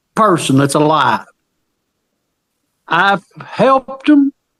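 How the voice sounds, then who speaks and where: A man with a high pitch and very wide pitch swings, at a very slow pace, in a dry, close sound with no echo. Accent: Southern US. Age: 70s. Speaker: witness to an old crime scene. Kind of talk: casual conversation. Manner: halting.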